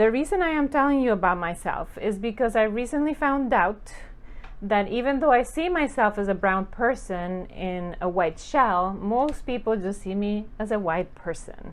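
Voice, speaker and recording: The speaker has a Spanish accent and lively intonation. The pace is moderate. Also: woman, fairly high pitch for a woman. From Costa Rica. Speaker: professor. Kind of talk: course welcome talk.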